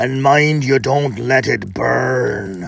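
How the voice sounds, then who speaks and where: A man puts on a character voice at medium pitch with ordinary pitch variation. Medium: read story. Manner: gruff, bossy.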